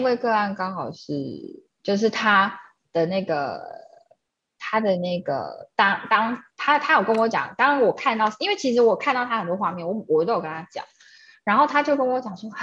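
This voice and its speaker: This woman speaks at a fairly high pitch, her voice swinging very widely up and down. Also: quiet background. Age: 30s. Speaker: energy painting artist, gallery founder. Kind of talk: casual interview chat.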